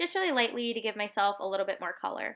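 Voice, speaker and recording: A woman with an unremarkable speaking voice talks at a fairly quick pace in a fairly high pitch. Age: 20s. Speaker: beauty vlogger. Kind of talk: tutorial voice-over. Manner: casual.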